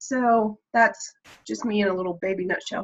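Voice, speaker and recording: A woman with an American accent, fairly high in pitch, at a fairly quick pace and with ordinary pitch variation. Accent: slight Texan accent, mostly masked. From Texas. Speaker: member of an online discussion group. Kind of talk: casual chat.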